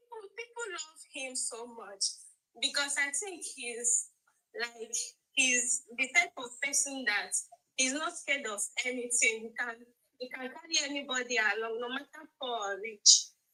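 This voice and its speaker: Raised and projected, a woman's bright, sharp voice comes at a high pitch and fairly slow pace, with ordinary pitch variation and big swings in loudness. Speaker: caller. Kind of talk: live stream chat. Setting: live stream.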